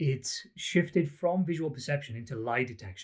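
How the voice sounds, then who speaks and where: With a Welsh accent, a man speaks at a fairly quick pace. His voice is somewhat breathy, with lively intonation. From Wales, the Valleys. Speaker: psychology academic. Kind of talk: interview.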